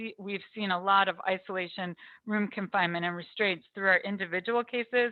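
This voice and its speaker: A woman with an unremarkable speaking voice, medium pitch and fairly even intonation. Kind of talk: presentation. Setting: video call.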